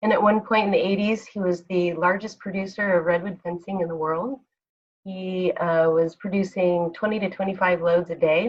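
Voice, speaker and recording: A plain, everyday voice belongs to a woman with an American accent and a medium pitch. She speaks at a moderate pace with fairly even intonation. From Northern California, Humboldt County. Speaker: club member giving a talk. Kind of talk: personal life talk.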